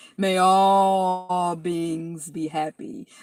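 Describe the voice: A put-on character voice at a middle pitch.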